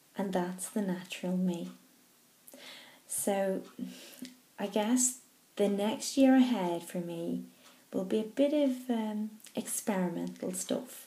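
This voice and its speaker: In a Northern Irish accent, a woman speaks at a very slow pace with long, frequent pauses. Her voice is somewhat breathy, with a dark, mellow tone and ordinary pitch variation. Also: medium pitch for a woman. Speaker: stammering charity trustee. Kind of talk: personal video message. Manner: slow, controlled; stammer.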